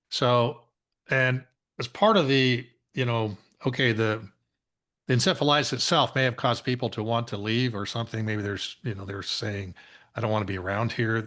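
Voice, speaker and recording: Over a quiet background, a man with an American accent speaks at a moderate pace and medium pitch, with ordinary pitch variation. His tone is bright and sharp, and he takes long, frequent pauses. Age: 60s. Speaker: engineer and geologist, guest speaker. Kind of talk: lecture. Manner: halting, many fillers.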